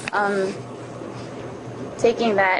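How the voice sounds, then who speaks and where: A woman speaks with an American accent at a moderate pace and a medium pitch. Noticeable background noise runs underneath. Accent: Navajo English. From Navajo Nation, Arizona. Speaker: scholarship recipient, college student. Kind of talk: personal testimony to camera. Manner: halting, with frequent fillers.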